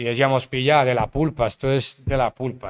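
A man speaks at a medium pitch and a fairly quick pace in a monotone, flat delivery, on a very clean recording with a silent background. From Colombia, Cartagena. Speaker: music producer. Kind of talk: casual interview chat. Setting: studio.

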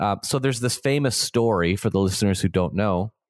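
Heard over a quiet background, a plain, everyday voice with a Canadian accent shows ordinary pitch variation. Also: man. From Ontario, Canada. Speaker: Orthodox priest and podcast host. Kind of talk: casual conversation about theology.

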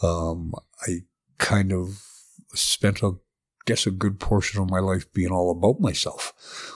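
With a western Canadian accent, a man speaks at a very deep, low pitch in flat, monotone intonation, at a fairly slow pace with long, frequent pauses, in a very clean recording with a silent background. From southern Alberta, Canada. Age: 50s. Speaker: artist in recovery. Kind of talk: personal testimony in interview. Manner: halting.

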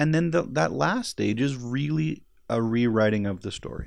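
With a Canadian accent and a plain, everyday voice, a man speaks at a moderate pace in a medium pitch with lively intonation. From Edmonton, Alberta, Canada. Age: 40s. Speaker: film editor. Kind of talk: interview.

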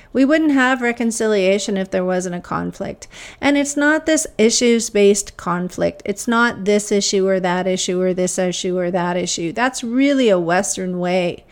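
Speaking with a Canadian accent and an unremarkable speaking voice, a woman keeps a medium pitch and moderate pace, using lively intonation and hardly any pauses. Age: 50s. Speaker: podcast host, academic. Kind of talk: casual monologue, storytelling. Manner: many filler uhs.

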